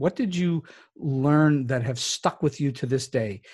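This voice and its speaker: In an unremarkable speaking voice, a man talks at a fairly high pitch and a moderate pace with ordinary pitch variation against a quiet background. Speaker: podcast host. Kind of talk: interview questions.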